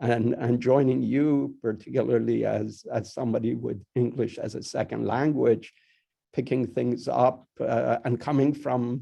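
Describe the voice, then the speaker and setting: A man with a Persian accent talks at a fairly slow pace. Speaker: university dean. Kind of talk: welcome speech. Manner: halting, many fillers and repetitions.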